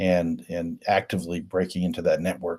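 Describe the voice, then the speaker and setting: The voice has a dark, mellow tone and an American accent. The recording is very clean, with a silent background. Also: man. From US Midwest, Richmond, Indiana. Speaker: cybersecurity consultant, former Air Force intelligence officer. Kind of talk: interview.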